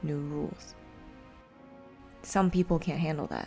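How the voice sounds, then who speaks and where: With music in the background, a woman speaks in a calm tone at a fairly low pitch, her intonation fairly even. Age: 20s. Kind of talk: poetic diary narration. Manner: reflective, calm.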